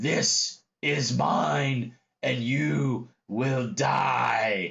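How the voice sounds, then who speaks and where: A man does a put-on character voice. It is raspy and medium in pitch. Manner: menacing, threatening.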